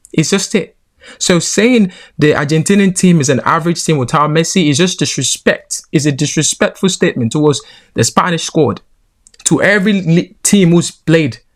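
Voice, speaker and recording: A man with a Nigerian accent speaks in a high pitch at a moderate pace, with ordinary pitch variation and very even loudness. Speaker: football commentator. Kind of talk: opinion commentary. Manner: animated.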